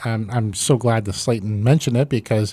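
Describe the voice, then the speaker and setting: In a Midwestern American accent, a man speaks at a fairly quick pace and medium pitch, recorded very cleanly against a silent background with a dry, close sound and no echo. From Iowa. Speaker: pastor and podcast host. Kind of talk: casual interview.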